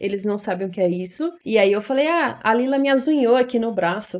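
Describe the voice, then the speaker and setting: This woman has a normal speaking voice. Her pace is moderate and her pitch varies in an ordinary way. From Ceará, Brazil (Fortaleza). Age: 20s. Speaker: podcaster. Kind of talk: casual monologue.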